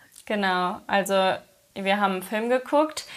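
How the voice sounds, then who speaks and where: Here a woman speaks. The variation in her pitch is ordinary. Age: 20s. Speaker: influencer and mother. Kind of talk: casual interview, personal story.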